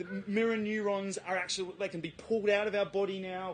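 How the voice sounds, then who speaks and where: A man talks with an Australian accent. His pitch is high. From South Australia, Adelaide. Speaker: presenter. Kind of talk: talk to a live audience.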